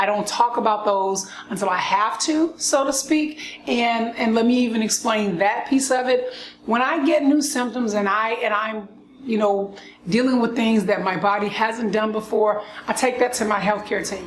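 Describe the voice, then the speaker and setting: A woman with a fairly high voice and ordinary pitch variation keeps a moderate pace amid noticeable background noise and audible room echo. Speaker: lupus vlogger. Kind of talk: casual monologue vlog. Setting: outdoors with birds. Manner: frequent coughing.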